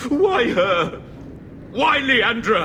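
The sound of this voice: A man's put-on character voice, extremely high in pitch, bright and sharp, very slow with big pitch swings.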